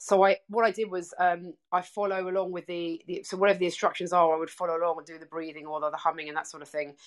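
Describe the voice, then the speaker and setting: Speech comes at a very fast pace with an English accent and fairly even intonation. Loudness swings widely against a quiet background. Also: woman, fairly low pitch for a woman. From England. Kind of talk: casual interview. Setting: video call.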